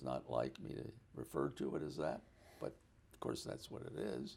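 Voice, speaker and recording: This man has an American accent and vocal fry. He speaks at a moderate pace. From US, Baltimore, Maryland. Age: 80s+. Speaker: retired pediatric anesthesiologist. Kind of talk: oral history interview. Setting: apartment.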